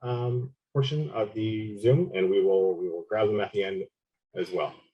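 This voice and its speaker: At a fairly slow pace, a man with a medium pitch talks in a somewhat breathy voice. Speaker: nonprofit staff hosting a training. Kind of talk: meeting housekeeping announcements. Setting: video call. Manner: halting, many fillers.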